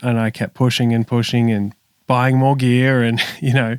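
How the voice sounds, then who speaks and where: A man with an Australian accent speaks at a fairly slow pace in a flat, monotone voice of medium pitch, recorded very cleanly with a silent background and a dry, close sound with no echo. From Australia, Sydney. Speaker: music producer and session bass player. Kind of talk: podcast interview.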